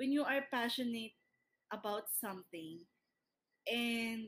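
A woman talks with ordinary pitch variation at a fairly high pitch. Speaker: podcast co-host, entrepreneur. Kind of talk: casual chat. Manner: talkative. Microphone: built-in laptop microphone.

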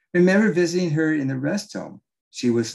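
A man with an American accent at a fairly quick pace, his pitch swinging very widely. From Southern California (Orange County). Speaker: Bible teacher and author. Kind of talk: reading aloud from own book.

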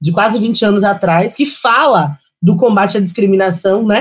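A somewhat breathy woman speaks at a moderate pace with a fairly high pitch. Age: 30s. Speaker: lawyer and city councillor. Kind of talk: panel discussion.

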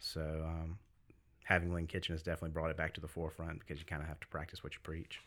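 Speaking at a very fast pace, a man with an American accent uses a very deep, low pitch and monotone, flat intonation. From US South, Greenville South Carolina. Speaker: business owner, gym-food store owner. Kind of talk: casual podcast interview. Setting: studio. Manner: soft-spoken.

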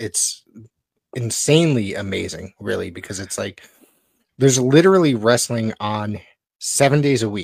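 A man talks at a fairly slow pace in an unremarkable speaking voice. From Connecticut, US. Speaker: wrestling podcast co-host and play-by-play announcer. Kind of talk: casual chat.

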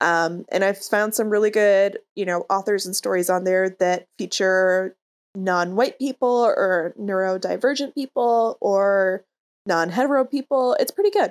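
A woman with a plain, everyday voice of medium pitch speaks at a moderate pace with ordinary pitch variation in a dry, close sound with no echo. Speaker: guest on comedy book-review podcast. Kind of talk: casual comedic chat.

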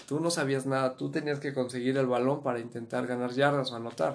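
A man's plain, everyday voice, medium in pitch and fairly even in intonation, against a quiet background. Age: 20s. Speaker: former American football player. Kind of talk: interview.

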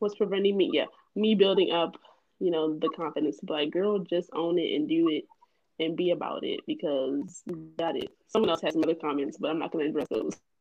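A plain, everyday voice, fairly quick in pace, with ordinary pitch variation. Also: woman, fairly low pitch for a woman. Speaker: podcast co-host. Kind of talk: casual group discussion, faith-based.

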